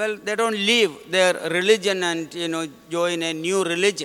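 The voice is raised and projected, with fairly even intonation. It moves at a moderate pace against noticeable background noise. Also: man. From India, Kerala. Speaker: visiting missionary priest. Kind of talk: homily. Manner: halting, many fillers.

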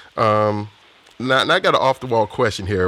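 Ordinary pitch variation in a plain, everyday voice, delivered at a moderate pace. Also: man. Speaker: podcast host and interviewer. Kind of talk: interview questions.

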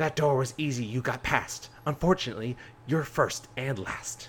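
A man's put-on character voice, medium in pitch, at a moderate pace over clear background noise.

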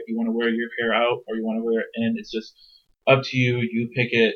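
A man's medium-pitched voice, very fast and monotone with flat intonation. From US, Iraqi immigrant family. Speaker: podcast guest. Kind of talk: interview.

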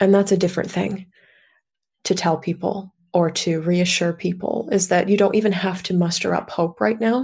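A woman speaks at a medium pitch with fairly even intonation and a somewhat breathy quality. The recording is very clean, with a silent background. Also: moderate pace. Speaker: author and grief guide. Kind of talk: casual interview.

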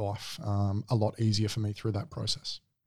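Here a man with a medium pitch talks at a moderate pace. The recording is very clean, with a silent background. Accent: Australian. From Adelaide, Australia. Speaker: navy veteran, clearance diver. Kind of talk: interview testimony. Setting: studio.

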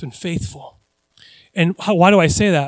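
An American accent with ordinary pitch variation, a dry, close sound with no echo and a very clean recording over a silent background. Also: man. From United States. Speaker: pastor. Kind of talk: sermon. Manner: halting.

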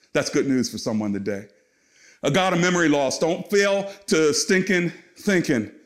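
The voice moves at a moderate pace and swings very widely in pitch. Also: man. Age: 50s. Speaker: pastor. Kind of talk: sermon. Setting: recorded at home for online church.

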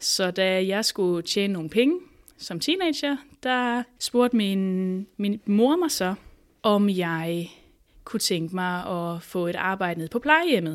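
With lively intonation at a medium pitch, a woman speaks at a very slow pace in a very clean recording with a silent background. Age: 30s. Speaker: psychologist. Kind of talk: interview.

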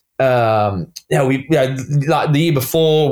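In an Australian accent, a man talks at a fairly slow pace. His pitch is medium. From Australia, Sydney. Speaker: cycling sporting director. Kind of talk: casual interview. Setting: remote call from bedroom.

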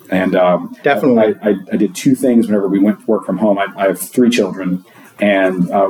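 Noticeable background noise can be heard throughout. The delivery is moderately paced, and the pitch varies in an ordinary way. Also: man. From Louisiana. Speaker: site reliability engineer. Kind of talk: casual interview. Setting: at a conference.

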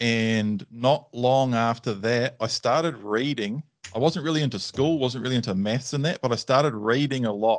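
A man with a New Zealand accent at a moderate pace, medium-pitched, with ordinary pitch variation, over a quiet background. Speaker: dog trainer. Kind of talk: casual chat. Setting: video call.

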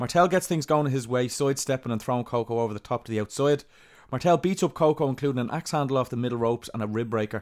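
Speaking very fast with an Irish accent, a man keeps a medium pitch and ordinary pitch variation on a very clean recording with a silent background. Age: 30s. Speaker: wrestling podcast host. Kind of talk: recap narration; casual chat.

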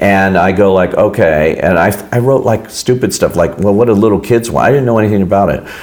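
Through noticeable background noise, a man speaks at a fairly low pitch. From Los Angeles, US. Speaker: film critic. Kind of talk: casual interview.

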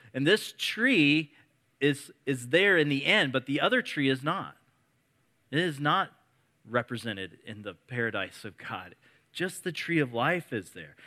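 A man with a Midwestern US accent speaks at a fairly high pitch in a bright, sharp tone with vocal fry, very wide pitch swings and big swings in loudness. He leaves long, frequent pauses, and the recording is very clean with a silent background. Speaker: preacher. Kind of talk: sermon. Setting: church with congregation.

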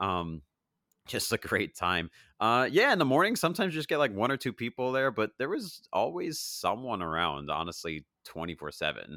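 With an American accent, a man speaks at a moderate pace in a bright, sharp tone, showing very wide pitch swings and vocal fry, in a dry, close sound with no echo. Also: medium pitch for a man, very clean recording, silent background. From Long Island, New York. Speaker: former college radio DJ. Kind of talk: interview. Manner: many fillers (um, like).

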